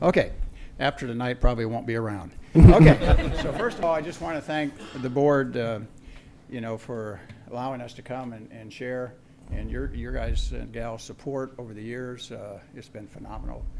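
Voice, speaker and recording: A man at a moderate pace, big swings in loudness, ordinary pitch variation, and noticeable background noise. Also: medium pitch for a man. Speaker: aviation instructor. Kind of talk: award presentation. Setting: school board meeting. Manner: halting.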